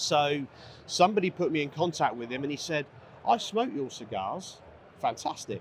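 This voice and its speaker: The voice moves at a moderate pace with very wide pitch swings and long, frequent pauses. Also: man, fairly high pitch for a man. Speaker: cigar company owner. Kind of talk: interview at trade show booth.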